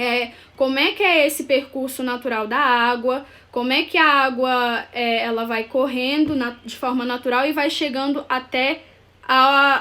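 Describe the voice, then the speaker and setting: A woman's high-pitched, raised and projected voice, bright and sharp in tone, at a fairly slow pace with fairly even intonation. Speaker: architect / urban planner. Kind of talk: live stream presentation. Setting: live video stream. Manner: halting, with many fillers.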